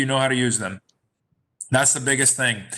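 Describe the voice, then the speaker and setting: On a very clean recording with a silent background, a man speaks at medium pitch in a bright, sharp tone. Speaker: banker. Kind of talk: presentation. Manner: hesitant, many fillers.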